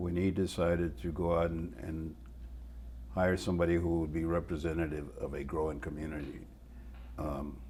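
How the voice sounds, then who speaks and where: At a moderate pace with long, frequent pauses, a man speaks at a very deep, low pitch with vocal fry, a dark, mellow tone and fairly even intonation, in audible room echo. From Mexico, raised in El Paso, Texas. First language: Spanish. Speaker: retired TV news reporter. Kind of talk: interview. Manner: halting, repeats words.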